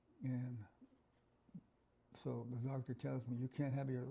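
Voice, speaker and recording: A man speaks at a moderate pace and medium pitch, his tone dark and mellow. His voice is somewhat breathy, with monotone, flat intonation. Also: long, frequent pauses. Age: 70s. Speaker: bereaved father and liver transplant recipient. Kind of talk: interview testimony.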